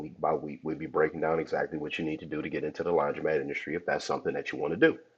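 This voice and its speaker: A man with an American accent talks at a very fast pace. Background noise is noticeable. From Cleveland, Ohio, US. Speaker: podcast host, laundromat investor. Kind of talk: casual podcast monologue. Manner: casual, conversational.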